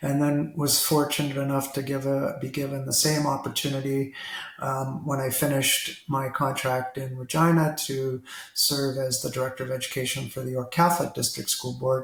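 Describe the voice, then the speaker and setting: Fairly high-pitched, fairly even speech from a man amid noticeable background noise. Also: moderate pace. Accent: Ontario. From Toronto, Canada. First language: Italian. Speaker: retired school district director. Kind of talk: interview conversation.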